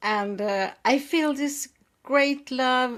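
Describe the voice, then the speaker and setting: A high-pitched woman's voice with a Swedish accent and ordinary pitch variation, on a very clean recording with a silent background. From Sweden. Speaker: writing coach and editor. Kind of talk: interview talk.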